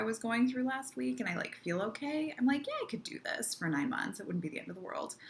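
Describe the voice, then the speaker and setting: With noticeable background noise, a woman talks at a fairly high pitch with very wide pitch swings. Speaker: vlogger. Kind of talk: casual vlog monologue. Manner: halting, many fillers.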